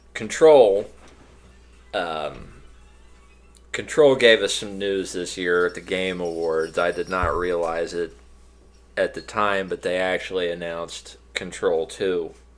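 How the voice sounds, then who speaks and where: With music in the background, a man talks at a very slow pace in a very deep, low pitch, leaving long, frequent pauses. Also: ordinary pitch variation. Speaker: podcast co-host. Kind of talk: casual chat. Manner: halting, repeats words.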